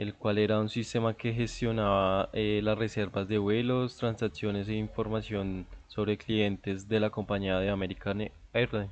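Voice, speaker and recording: The man's fairly low voice holds a flat, monotone intonation. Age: 20s. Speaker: university student. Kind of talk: class presentation. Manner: halting, many filler sounds.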